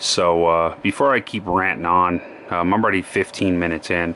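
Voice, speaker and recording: In an American accent, this man delivers his words at a very deep, low pitch. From Colorado. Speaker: knife collector YouTuber. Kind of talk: product review. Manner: hesitant, many fillers.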